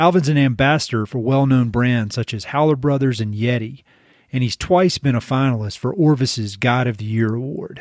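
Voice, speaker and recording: Here a man speaks with a Southern accent at medium pitch. His pace is moderate and his pitch variation ordinary. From eastern North Carolina. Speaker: podcast host. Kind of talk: scripted podcast intro. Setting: video call.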